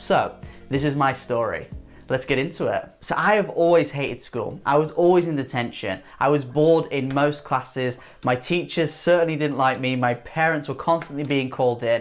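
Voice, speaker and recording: A man with an English accent, fairly high pitch, ordinary pitch variation and a moderate pace. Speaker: student advice youtuber. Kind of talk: vlog monologue.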